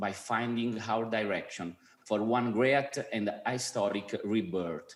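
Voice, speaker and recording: A medium-pitched man's voice with an Italian accent and ordinary pitch variation. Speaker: film festival president. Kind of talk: award presentation speech.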